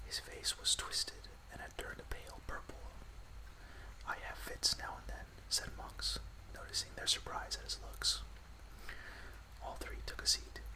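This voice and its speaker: Calm tone at a moderate pace, with long, frequent pauses over noticeable background noise. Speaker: ASMR podcast host and storyteller. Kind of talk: audiobook-style reading of a classic novel with dialogue. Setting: ASMR podcast recording. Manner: whispered, soft-spoken, calm.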